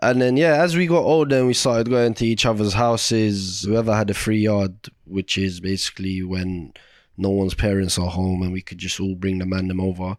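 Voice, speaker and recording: With a London accent and fairly low pitch, a man speaks at a fairly quick pace. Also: ordinary pitch variation, very clean recording, silent background. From Iraq, raised in London. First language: Arabic. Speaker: podcast host, TV chef. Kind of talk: casual chat. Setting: home living room.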